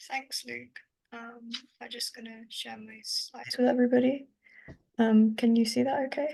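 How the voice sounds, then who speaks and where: A woman with an English accent speaks at a moderate pace in a dark, mellow tone with a fairly high pitch, flat monotone intonation and big swings in loudness. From southern England (Reading). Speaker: climate scientist. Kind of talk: academic presentation.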